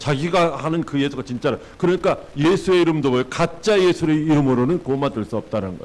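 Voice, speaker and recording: Very fast speech with lively intonation and vocal fry. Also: man. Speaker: pastor. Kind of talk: sermon.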